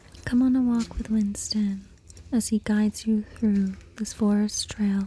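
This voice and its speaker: Soft-spoken and somewhat breathy, a woman talks at a fairly slow pace with a fairly high pitch. Her tone is calm and her intonation monotone and flat. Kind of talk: ASMR guided nature walk. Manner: calm, slow.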